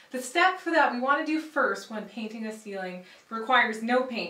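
Lively intonation from a woman, with audible room echo. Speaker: home improvement host. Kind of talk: tutorial. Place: bathroom.

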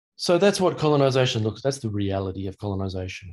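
A man with a fairly low pitch talks at a fairly quick pace. His voice is somewhat breathy, and his intonation lively. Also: quiet background. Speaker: academic speaker. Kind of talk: lecture. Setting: video call. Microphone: video call.

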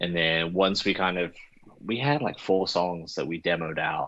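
A very deep, low-pitched male voice. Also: quiet background. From South Africa. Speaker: band guitarist. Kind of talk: casual interview. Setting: video call. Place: car. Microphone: video call.

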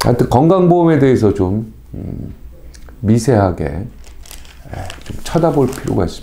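Very wide pitch swings mark this man's medium-pitched voice. He keeps a moderate pace with long, frequent pauses. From South Korea. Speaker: news commentary show host. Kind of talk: news commentary, reading newspaper articles. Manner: conversational with many fillers and hesitations. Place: studio.

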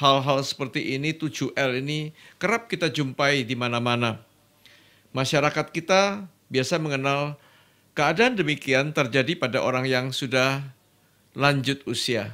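A man's bright, sharp voice moves at a fairly slow pace against a quiet background. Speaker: guest. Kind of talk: interview answer. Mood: warm, lightly humorous. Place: studio. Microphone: studio mic.

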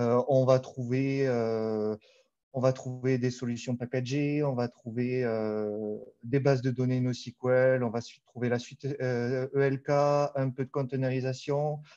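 Against a quiet background, a man with a Toulouse accent speaks at a very slow pace in a dark, mellow tone with fairly even intonation. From southern France, Toulouse; southern France. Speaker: data architect, conference speaker; conference speaker. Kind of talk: conference talk. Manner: hesitant, many fillers. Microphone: video call.

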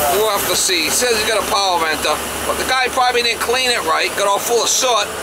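With ordinary pitch variation and a fairly quick pace, a man talks as loud background noise fills the recording. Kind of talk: casual vlog chat. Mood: annoyed, skeptical. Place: car. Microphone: camera far.

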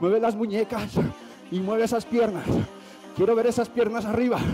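Faint music plays in the background. A man speaks fairly slowly in a high pitch. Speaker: fitness instructor. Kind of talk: workout coaching cues. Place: gym.

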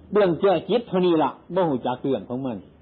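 With an Isan accent, a man speaks at a high pitch with very wide pitch swings. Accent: Isan (Northeastern Thai). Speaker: Buddhist monk. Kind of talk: Dharma sermon.

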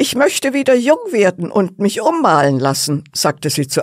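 At a fairly slow pace, the voice comes through on a very clean recording with a silent background. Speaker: storyteller reading a fairy tale. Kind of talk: bedtime story narration, calm and cozy, with gentle character voices. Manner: soft, slow, warm storytelling pace; playful, animated character voices (old woman, cheeky servant).

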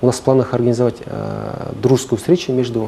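A man rattles along very fast with light background noise behind him. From Kazakhstan. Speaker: prosecutor official; guest. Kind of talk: studio interview. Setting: studio. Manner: formal. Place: studio.

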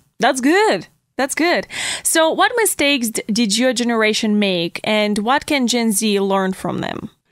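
At a fairly slow pace, a woman with an ordinary speaking voice talks at a fairly high pitch with lively intonation. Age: 20s. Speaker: podcast host. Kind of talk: interview. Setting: studio.

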